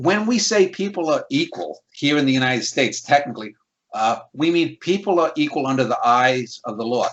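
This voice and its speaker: A man's fairly high voice with a slight New York accent, fairly quick and full of very wide pitch swings. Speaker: critic and channel host. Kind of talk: casual conversation, interview. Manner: many fillers and repetitions.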